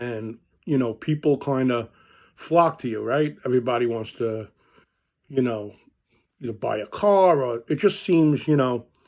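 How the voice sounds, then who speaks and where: A man with a Brooklyn accent speaks at a moderate pace and a medium pitch, with ordinary pitch variation. Long, frequent pauses break up his speech. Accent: Brooklyn New York. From New York (Brooklyn). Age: 50s. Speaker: car dealer. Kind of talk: casual vlog talk. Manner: conversational with many fillers.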